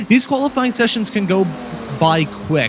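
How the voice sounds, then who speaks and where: Moderate-paced speech from a man, noticeable background noise behind it. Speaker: sim racing commentator. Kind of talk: live commentary. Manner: halting.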